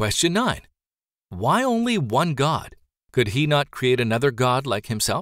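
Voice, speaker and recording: A man's fairly high voice with very wide pitch swings, a fairly slow pace and very even loudness. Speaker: audiobook narrator. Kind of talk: audiobook reading of religious nonfiction, scripted and formal. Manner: measured, formal, even-paced.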